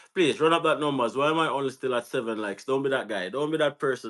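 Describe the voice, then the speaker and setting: On a very clean recording with a silent background, a bright, sharp voice with a Jamaican accent shows ordinary pitch variation. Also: man. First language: Jamaican Patois. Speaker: YouTube host. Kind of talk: live-stream interview.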